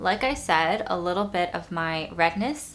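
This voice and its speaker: A fairly low-pitched woman's voice against noticeable background noise. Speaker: beauty youtuber. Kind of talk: makeup tutorial and product review. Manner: casual.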